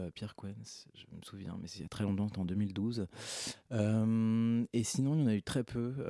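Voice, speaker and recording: In a very clean recording over a silent background, a man speaks very slowly with hardly any pauses, his fairly low, dark and mellow voice showing ordinary pitch variation and big swings in loudness. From France, Hautes-Alpes. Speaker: composer. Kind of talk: radio interview. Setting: radio studio.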